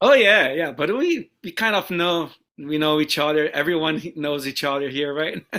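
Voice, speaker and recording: A man with a Portuguese accent talks at a moderate pace. His pitch is fairly high, with ordinary pitch variation. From Brazil. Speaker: guitarist. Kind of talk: interview. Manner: halting.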